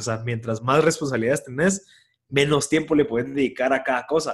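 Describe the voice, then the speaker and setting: A man talks at a fairly quick pace in a fairly high pitch. His voice is somewhat breathy, and his intonation stays fairly even. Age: 20s. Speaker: volunteer firefighter and entrepreneur. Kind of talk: casual interview conversation. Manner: halting, many fillers and repeated words.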